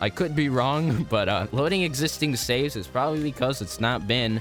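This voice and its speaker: A man talking at a moderate pace with music in the background. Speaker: video game YouTuber. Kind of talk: casual gaming commentary.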